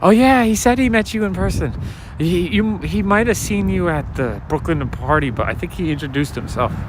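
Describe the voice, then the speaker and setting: Amid noticeable background noise, a man talks at a moderate pace with very wide pitch swings. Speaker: street walk livestreamer and comic collector. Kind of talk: livestream walk chat with viewers. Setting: outdoors, night street walk. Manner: soft-spoken.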